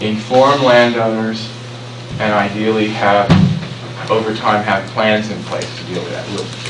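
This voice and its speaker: A man speaks in a monotone, flat way with long, frequent pauses. Noticeable background noise and audible room echo fill the recording. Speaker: presenter on scenic byway planning. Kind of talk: public presentation. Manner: loud.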